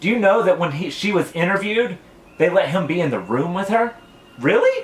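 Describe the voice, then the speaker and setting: A loud man's voice with lively intonation. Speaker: vlogger. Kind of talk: rant vlog.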